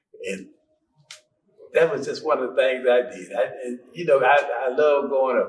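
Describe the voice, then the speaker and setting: This is a man with an Arkansas accent. He keeps a moderate pace. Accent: Southern US (Arkansas). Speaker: school alumnus. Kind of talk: interview.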